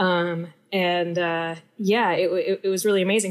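A woman's plain, everyday voice at a medium pitch and moderate pace, in a very clean recording, silent background. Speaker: comedian. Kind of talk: casual chat.

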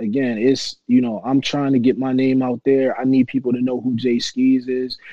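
Here a man speaks with an American accent at a moderate pace. He has an unremarkable speaking voice at a medium pitch. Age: 30s. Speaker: rapper. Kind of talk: casual interview.

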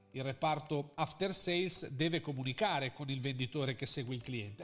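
A man speaking at a moderate pace. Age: 40s. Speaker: marketing consultant. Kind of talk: interview. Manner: halting.

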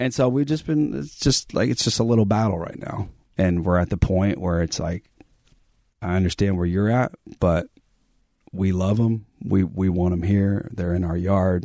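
The man speaks at a moderate pace with a very deep, low pitch and a dark, mellow tone. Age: 30s. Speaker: podcast co-host. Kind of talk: casual chat. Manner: monotone, level energy.

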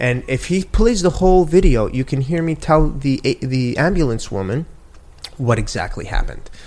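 With an American accent, a man has a normal speaking voice, a fairly high pitch, and lively intonation. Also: moderate pace. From New York City. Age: 40s. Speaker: guest. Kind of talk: heated debate.

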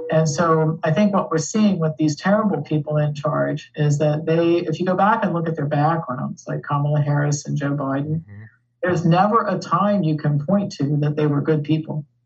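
With an American accent, a woman speaks at a very deep, low pitch with ordinary pitch variation and a somewhat breathy sound. Her pace is moderate, with hardly any pauses. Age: 60s. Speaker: activist and co-founder of advocacy group. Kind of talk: casual interview chat.

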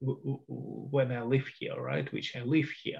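Somewhat breathy and fairly high-pitched, a man speaks slowly-ish at a fairly slow pace with a Russian accent. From Soviet Union (Russia). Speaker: historian and Russia expert. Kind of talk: interview.

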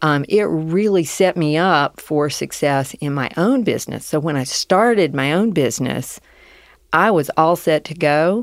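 A woman's very deep, low voice with lively intonation at a fairly slow pace, in a very clean recording with a silent background. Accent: Southern US. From US South. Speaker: business owner. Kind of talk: interview conversation.

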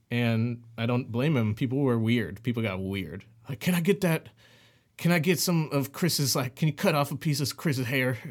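A man talks at a moderate pace in a medium pitch with lively intonation. The recording is very clean, with a silent background. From US Midwest, St. Louis, Missouri. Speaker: singer-songwriter. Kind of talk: casual interview chat. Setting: home shed studio.

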